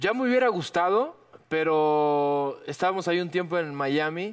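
On a very clean recording with a silent background, a man speaks in a normal speaking voice, fairly high in pitch, with lively intonation. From Cuba. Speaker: actor. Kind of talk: casual chat.

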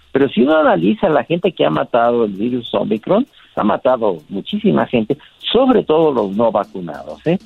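A man at medium pitch and moderate pace, his pitch swinging very widely, with music in the background. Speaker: doctor. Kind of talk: interview.

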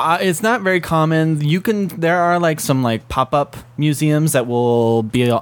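A man uses a normal speaking voice, moving at a moderate pace with ordinary pitch variation. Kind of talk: casual chat.

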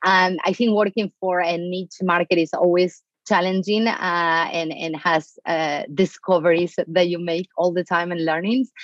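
A woman with an Argentine accent speaks in a fairly low voice with fairly even intonation, recorded with a dry, close sound and no echo. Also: moderate pace. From Argentina. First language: Spanish. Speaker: marketing executive. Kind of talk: interview. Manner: direct.

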